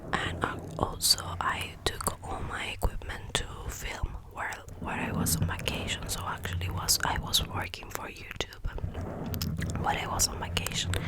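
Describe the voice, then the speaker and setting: A woman whispers at a moderate pace. Noticeable background noise is present. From Argentina. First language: Spanish. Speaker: ASMR content creator. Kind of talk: ASMR ramble to camera. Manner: soft-spoken.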